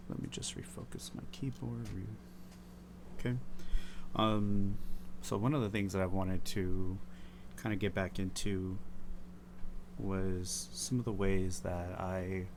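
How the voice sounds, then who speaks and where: A soft-spoken man with very wide pitch swings and long, frequent pauses. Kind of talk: casual talk to camera, rambling while drawing. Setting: close mic, home recording. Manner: soft-spoken, slow, rambling.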